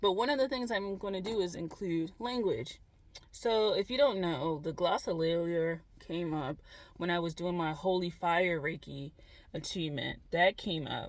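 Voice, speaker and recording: This voice has an American accent and moves at a moderate pace. Its intonation is lively. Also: woman, fairly low pitch for a woman. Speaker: spiritual vlogger. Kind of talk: casual monologue vlog. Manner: loud; rambling, halting.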